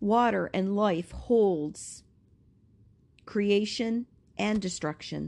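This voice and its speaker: A woman speaks at a very slow pace with a soothing tone, ordinary pitch variation, and long, frequent pauses, in a very clean recording with a silent background. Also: medium pitch for a woman. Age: 50s. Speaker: Reiki healer and spiritual podcaster. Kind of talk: channeled guided visualization meditation, spoken slowly over distance Reiki healing. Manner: slow, soothing and hypnotic, with repeated phrases; softly emphatic, lingering on imagery.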